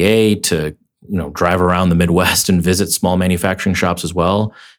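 A man with a very deep, low pitch, monotone, flat intonation and a fairly quick pace, in a very clean recording with a silent background. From immigrant to America as a child, raised in Minnesota. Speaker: tech startup founder. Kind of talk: interview.

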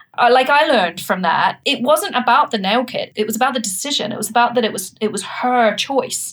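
Over noticeable background noise, a woman talks at a fairly quick pace with hardly any pauses. Her pitch is high and varies in an ordinary way. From New Zealand. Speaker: startup founder and CEO. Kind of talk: interview.

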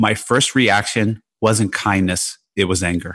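A man with a fairly low pitch and an unremarkable speaking voice talks at a fairly slow pace with fairly even intonation over a quiet background. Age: 50s. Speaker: hedge fund trader and author. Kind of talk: casual interview.

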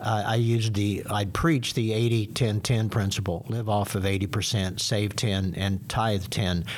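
A man talks at a fairly slow pace in a fairly low pitch with ordinary pitch variation. Noticeable background noise runs underneath. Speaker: senior pastor. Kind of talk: casual panel discussion. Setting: studio.

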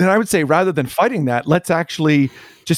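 Here a man with a Canadian accent talks at a fairly quick pace in an unremarkable speaking voice. His pitch is fairly high, his intonation lively, and the sound is dry and close with no echo. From Canada. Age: 40s. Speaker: pastor and church consultant. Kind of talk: podcast interview.

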